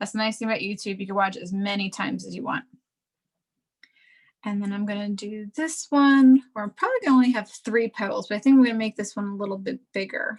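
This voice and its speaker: A somewhat breathy woman with a fairly high pitch speaks at a very fast pace. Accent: American. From New Jersey, US. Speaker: art teacher. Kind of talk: tutorial.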